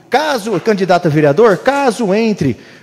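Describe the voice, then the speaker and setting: An animated man's voice over noticeable background noise. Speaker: city councillor. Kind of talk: council floor speech. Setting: municipal council chamber.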